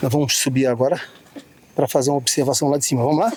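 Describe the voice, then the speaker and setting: A man's fairly high voice at a very fast pace, with noticeable background noise. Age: 60s. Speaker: travel vlogger. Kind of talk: casual vlog narration. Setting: outdoors, climbing observation tower. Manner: animated.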